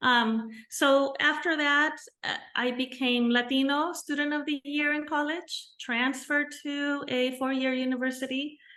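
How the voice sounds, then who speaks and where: A woman projects her voice in a raised, high-pitched, bright and sharp tone. She goes at a fairly slow pace with fairly even intonation. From Mexico and California. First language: Spanish. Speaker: bilingual teacher. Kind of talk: interview.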